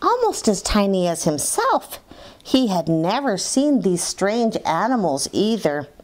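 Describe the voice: The speaker gives a plain reading aloud. The intonation is lively.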